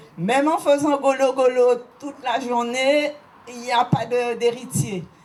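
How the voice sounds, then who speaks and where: A woman talks very slowly as background noise stays clearly present. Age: 70s. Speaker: local history guide. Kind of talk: guided site talk.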